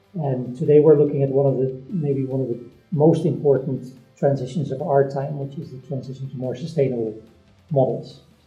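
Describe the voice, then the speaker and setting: Music plays behind a man who speaks at a fairly quick pace and fairly high pitch, with fairly even intonation and big swings in loudness. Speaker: professor, interviewer. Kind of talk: interview question.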